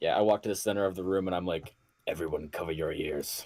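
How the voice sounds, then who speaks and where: A raspy put-on character voice, deadpan in tone, delivered at a very fast pace. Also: man, very deep, low pitch for a man. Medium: actual play. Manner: deadpan, sardonic.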